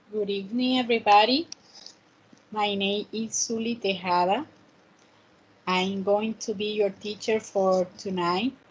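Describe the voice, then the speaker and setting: A woman speaks somewhat breathily at a medium pitch with fairly even intonation. Her pace is fairly slow, with long, frequent pauses. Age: 30s. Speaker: student teacher of English. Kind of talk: online class.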